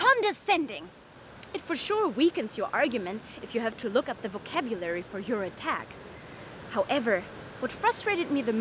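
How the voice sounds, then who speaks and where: A woman speaks at a fairly quick pace, her fairly high pitch swinging very widely. Noticeable background noise sits behind her. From Germany. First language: German. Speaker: comedian. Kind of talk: stand-up monologue.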